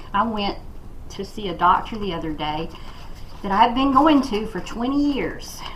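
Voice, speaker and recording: The speaker has lively intonation, big swings in loudness and long, frequent pauses at a moderate pace. Noticeable background noise and audible room echo fill the recording. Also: woman, fairly high pitch for a woman. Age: 60s. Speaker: crafting vlogger. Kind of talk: casual chat while crafting. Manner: halting.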